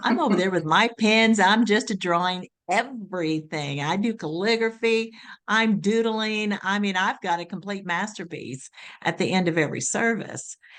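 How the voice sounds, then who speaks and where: An ordinary speaking voice from a woman, with ordinary pitch variation over a quiet background. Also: medium pitch for a woman, moderate pace. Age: 60s. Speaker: meeting facilitator. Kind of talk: casual discussion.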